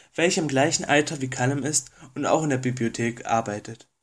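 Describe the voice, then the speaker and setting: On a very clean recording with a silent background, a man speaks at medium pitch and a fairly quick pace, using ordinary pitch variation. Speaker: listener sending in a recorded review. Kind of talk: recorded review read from notes. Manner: reading from notes, several takes.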